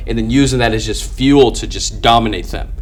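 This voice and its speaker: There's audible room echo and noticeable background noise as a man rattles off his words at a very fast pace. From immigrant, grew up outside English-speaking home. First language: not English. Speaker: business owner, sales closer. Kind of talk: casual interview chat. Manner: articulate; animated.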